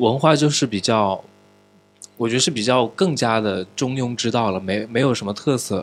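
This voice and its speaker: A normal speaking voice keeps a moderate tempo while its pitch shifts in an ordinary way. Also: man, medium pitch for a man. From Changsha, Hunan, China. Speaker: podcast host. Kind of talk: casual chat. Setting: studio.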